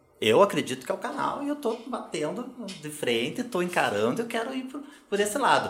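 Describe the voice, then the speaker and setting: Pitch swings very widely at a very fast pace. Background noise is noticeable. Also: man. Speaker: legal management consultant. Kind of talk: podcast interview.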